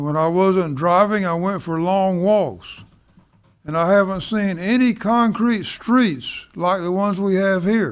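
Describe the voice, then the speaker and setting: Speaking at a fairly slow pace, a man with a high pitch and ordinary pitch variation comes through on a very clean recording against a silent background. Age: 80s+. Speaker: public commenter, retired truck driver. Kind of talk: public comment at city meeting. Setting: city commission meeting.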